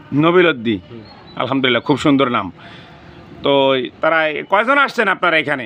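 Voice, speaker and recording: A man's voice shows very wide pitch swings. Noticeable background noise runs behind him. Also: fairly high pitch for a man. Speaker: video blogger interviewing a local elder. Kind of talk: street interview and address to viewers.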